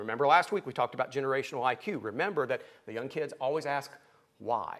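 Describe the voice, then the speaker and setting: Someone with an Appalachian accent speaks at a fairly quick pace, with ordinary pitch variation. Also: man. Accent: Appalachian twang. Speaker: pastor. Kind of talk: sermon.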